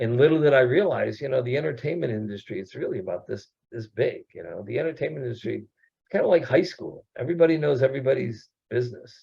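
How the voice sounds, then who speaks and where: A somewhat breathy man talks at a fairly quick pace with lively intonation. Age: 60s. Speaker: actor and producer. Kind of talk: casual chat.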